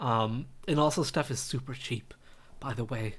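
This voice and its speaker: Somewhat breathy, a man with an American accent speaks at a medium pitch with fairly even intonation. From US West Coast, Los Angeles (Glendale). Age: 30s. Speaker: college chemistry instructor. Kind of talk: lecture, casual class introduction. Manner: casual, chatty.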